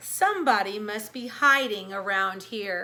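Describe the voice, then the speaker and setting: Using a put-on character voice, a woman speaks at a moderate pace with a raspy sound and a medium pitch. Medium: read story.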